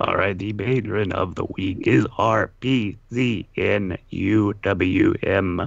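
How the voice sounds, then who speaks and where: A man's robotic put-on character voice, fairly low in pitch, at a very slow pace. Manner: flat, mechanical.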